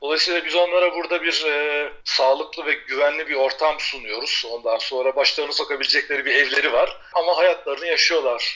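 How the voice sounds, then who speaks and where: Noticeable background noise runs through the recording. Over it, a man speaks fairly quickly. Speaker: paraglider and sailor living abroad. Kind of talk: casual interview. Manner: hesitant, many fillers.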